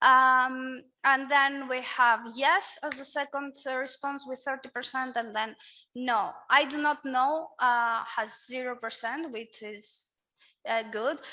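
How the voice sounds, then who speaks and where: A woman with a Greek accent speaks very slowly in a high, bright, sharp, raised and projected voice. Her intonation stays fairly even while her loudness swings widely. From Greece. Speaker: workshop moderator. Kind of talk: panel discussion.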